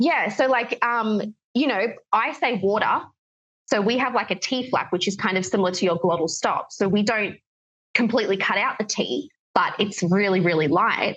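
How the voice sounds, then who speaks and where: A woman speaks at a moderate pace with a medium pitch. Her intonation is lively. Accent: General Australian. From Australia. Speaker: English teacher. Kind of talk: podcast interview.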